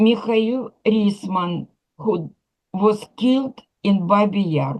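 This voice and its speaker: A somewhat breathy woman at a medium pitch, very slow in pace, with ordinary pitch variation. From Ukraine. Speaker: candle lighter at memorial. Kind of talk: memorial tribute. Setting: memorial program.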